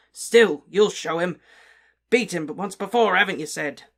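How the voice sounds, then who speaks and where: Using a raspy, put-on character voice, a man speaks at a moderate pace with a high pitch, ordinary pitch variation and big swings in loudness. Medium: read story. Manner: snide, resentful.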